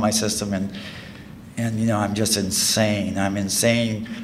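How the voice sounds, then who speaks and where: Over noticeable background noise and audible room echo, a man is heard speaking. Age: 50s. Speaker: recovering alcoholic speaker. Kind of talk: testimony. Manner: halting.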